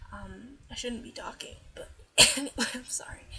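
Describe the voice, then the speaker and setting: A soft-spoken woman talks at a moderate pace. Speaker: transgender vlogger. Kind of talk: casual talk to camera. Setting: poor-quality built-in microphone, at night. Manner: quiet, soft-spoken.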